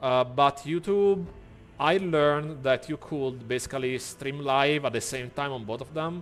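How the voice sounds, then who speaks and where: Speaking fairly slowly, a man with a fairly high pitch has a non-native accent. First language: not English. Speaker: streamer. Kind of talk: live stream gameplay chat. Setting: live stream. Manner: animated.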